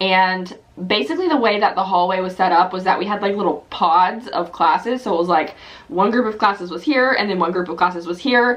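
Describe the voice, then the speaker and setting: A woman with an American accent, medium pitch and ordinary pitch variation at a fairly quick pace, against noticeable background noise. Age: 20s. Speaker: youtuber. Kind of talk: casual chat. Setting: home office. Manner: rambling, filler-heavy.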